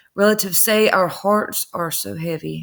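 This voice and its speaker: Her pace is moderate. The woman talks in a Southern US accent. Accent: country Southern. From North Carolina. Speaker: true crime YouTuber. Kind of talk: casual commentary reading news. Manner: conversational.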